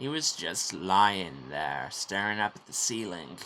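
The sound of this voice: A put-on character voice, bright and sharp in tone, moves at a fairly slow pace. It shows big pitch swings. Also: man, low pitch for a man.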